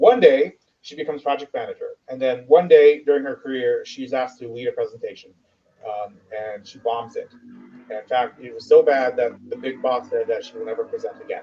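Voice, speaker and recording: A man talks at a fairly quick pace. His loudness swings a lot. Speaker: ESL instructor. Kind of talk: casual chat. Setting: live stream video call. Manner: fast.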